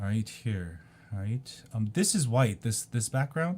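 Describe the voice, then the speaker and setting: Somewhat breathy, a man talks at a fairly slow pace with very wide pitch swings. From South Korea. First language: Korean. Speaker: video blogger. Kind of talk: casual monologue. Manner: hesitant, many ums.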